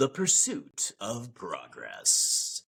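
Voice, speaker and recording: A man adopts a put-on character voice, pitched extremely high. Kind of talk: dramatic.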